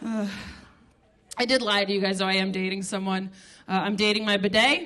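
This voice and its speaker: Fairly quick talking from a woman, with audible room echo. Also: medium pitch for a woman. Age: 30s. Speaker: stand-up comedian. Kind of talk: stand-up. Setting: stage with audience. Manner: animated.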